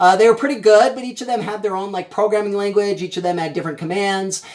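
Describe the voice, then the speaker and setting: A man is speaking. There is noticeable noise in the background. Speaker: teacher. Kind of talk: recorded lecture. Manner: fast.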